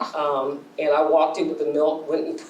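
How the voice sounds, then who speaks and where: Noticeable background noise and audible room echo surround this recording. A woman speaks at a moderate pace. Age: 60s. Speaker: poet. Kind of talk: audience Q&A conversation. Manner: hesitant, with many fillers.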